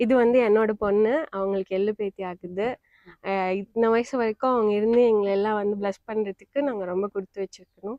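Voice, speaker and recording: A woman talks in a fairly high voice with fairly even intonation. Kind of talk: interview answer.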